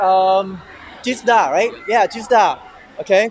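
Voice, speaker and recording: Light background noise sits behind a man speaking at a high pitch. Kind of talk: casual show-floor presentation. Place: hall.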